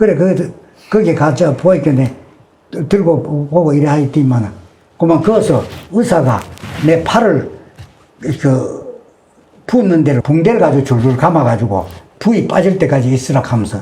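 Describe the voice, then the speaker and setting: Over noticeable background noise, a man with a Gyeongsang accent speaks at a moderate pace in a fairly high voice, with very wide pitch swings and long, frequent pauses. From Yeongju, North Gyeongsang, South Korea. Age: 80s+. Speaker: elderly man recounting wartime childhood. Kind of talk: oral history testimony.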